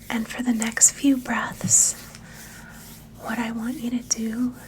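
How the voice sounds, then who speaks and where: Over noticeable background noise, a woman with a fairly high pitch talks at a very slow pace in a monotone, flat intonation. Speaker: grief support host and meditation guide. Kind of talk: guided meditation. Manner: calm, soothing, slow-paced.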